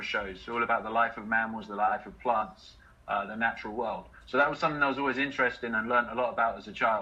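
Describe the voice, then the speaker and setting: This man talks very fast. He has an English accent. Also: big swings in loudness. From England, Letchworth, Hertfordshire. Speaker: activist, water protector. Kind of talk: interview, personal story. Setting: live online video chat.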